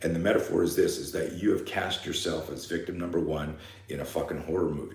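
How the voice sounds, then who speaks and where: Audible room echo surrounds a man speaking at a very fast pace. His tone is animated. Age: 60s. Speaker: fear management coach and self-defense instructor. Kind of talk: live seminar talk.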